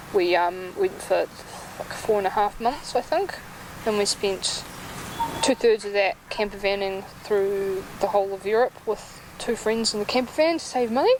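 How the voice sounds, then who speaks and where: A woman with a New Zealand accent at a moderate pace, medium pitch and ordinary pitch variation, with noticeable background noise. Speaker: music blogger and author. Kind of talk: interview.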